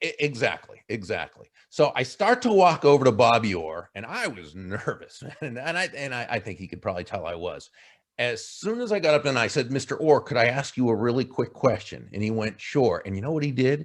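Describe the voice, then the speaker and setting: A man with a Boston accent speaks at medium pitch and a fairly quick pace, in an animated tone. His pitch swings very widely over a quiet background. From Boston area. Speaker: keynote speaker and author. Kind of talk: interview answer. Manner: animated storytelling.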